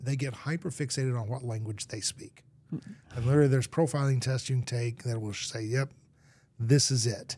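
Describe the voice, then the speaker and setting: The voice is dark and mellow, somewhat breathy, with fairly even intonation and a fairly quick pace. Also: man, medium pitch for a man. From Argentina. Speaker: marketing executive and sales coach. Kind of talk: casual interview.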